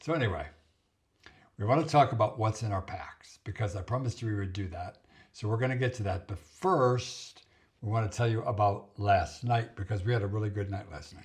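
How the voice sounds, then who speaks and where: A somewhat breathy man with fairly low pitch speaks with big swings in loudness. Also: ordinary pitch variation, fairly quick pace. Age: 70s. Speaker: vlogger. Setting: hotel room. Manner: soft-spoken.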